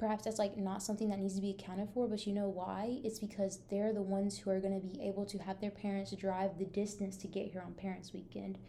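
With a dark, mellow, somewhat breathy tone, a woman speaks at medium pitch and a fairly quick pace. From Texas. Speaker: podcast host, college student. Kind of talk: casual interview chat.

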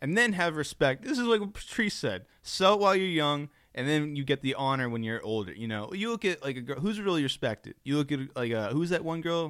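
The recording is very clean with a silent background. A man with a fairly high voice talks fairly quickly with very wide pitch swings and hardly any pauses. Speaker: podcast co-host. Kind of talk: casual chat.

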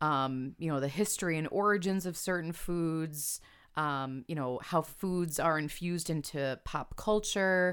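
In a very clean recording with a silent background, a woman with an American accent speaks at a fairly slow pace in a plain, everyday voice, her pitch fairly low with ordinary pitch variation. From Chicago suburbs, Illinois. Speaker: copywriter and food writer. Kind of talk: casual interview.

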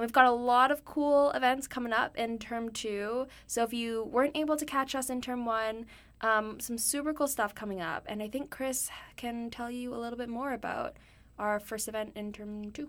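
The recording is very clean and the background silent. Intonation is fairly even. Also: woman, high pitch for a woman, moderate pace. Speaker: student podcast host. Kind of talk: casual chat.

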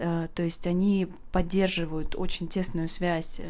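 A woman has an unremarkable speaking voice at medium pitch. She talks at a fairly slow pace with fairly even intonation. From Saint Petersburg, Russia. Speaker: podcast host. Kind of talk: unscripted casual monologue. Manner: spontaneous, relaxed, with filler words.

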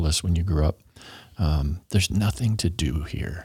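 Somewhat breathy, the man's voice has a dark, mellow tone. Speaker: city transportation planning official. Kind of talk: casual interview.

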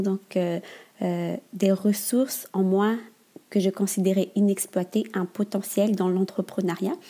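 Somewhat breathy and dark, mellow in tone, a woman speaks at a very slow pace, her medium pitch carried in fairly even intonation. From Madagascar. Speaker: entrepreneur. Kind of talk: interview. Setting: remote recording.

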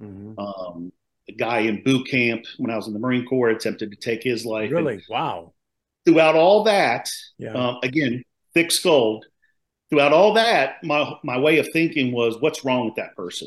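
A man with an American accent and an unremarkable speaking voice talks at a moderate pace with lively intonation against a quiet background. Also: medium pitch for a man, big swings in loudness. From Maryland, US. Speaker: retired police officer, nonprofit founder. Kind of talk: interview testimony.

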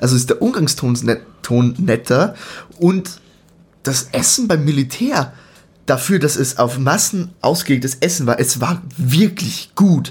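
A man speaks at a fairly high pitch, somewhat breathy, with lively intonation. He leaves long, frequent pauses. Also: fairly slow pace, very even loudness. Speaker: podcast co-host. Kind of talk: casual chat.

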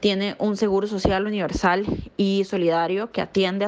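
This woman's medium-pitched voice moves at a moderate pace. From Costa Rica. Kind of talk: voice message.

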